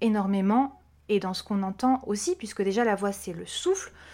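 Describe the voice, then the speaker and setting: On a very clean recording with a silent background, a woman with an ordinary speaking voice talks at a moderate pace, medium pitch and ordinary pitch variation. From Corsica. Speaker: vocal coach. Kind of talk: interview.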